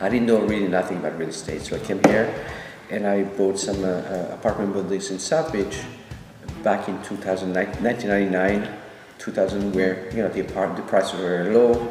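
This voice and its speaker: A man with a French accent and fairly low pitch, fairly even intonation, audible room echo and music in the background. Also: fairly quick pace. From France. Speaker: real estate developer. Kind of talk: interview. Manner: hesitant, many fillers.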